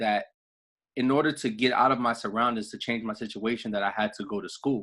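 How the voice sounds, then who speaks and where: A man speaks with a New York accent. His pitch is medium. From New York City, the Bronx. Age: 30s. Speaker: network marketing director. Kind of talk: motivational talk on a group call. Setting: conference call. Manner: casual, repetitive with fillers.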